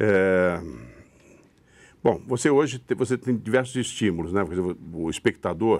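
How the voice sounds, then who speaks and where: Over a silent background in a very clean recording, a man talks with ordinary pitch variation. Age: 70s. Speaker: stage actor. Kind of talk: interview. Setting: studio. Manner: halting, with repetitions.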